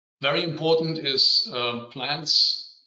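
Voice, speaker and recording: The speech moves at a fairly slow pace with a German accent. Some room echo can be heard. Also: man. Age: 50s. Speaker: civil engineer. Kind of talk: conference presentation. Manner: halting.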